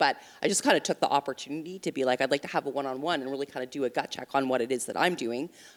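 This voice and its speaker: Speaking at a very fast pace, a woman has a very deep, low pitch and fairly even intonation. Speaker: startup mentor and marketing executive. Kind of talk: panel discussion. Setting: stage with audience. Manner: hesitant, many fillers.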